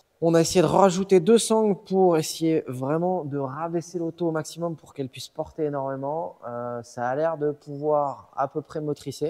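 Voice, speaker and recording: A man with an ordinary speaking voice, fairly high pitch, moderate pace, big swings in loudness and hardly any pauses. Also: ordinary pitch variation. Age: 20s. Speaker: dyno tuner. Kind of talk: casual chat.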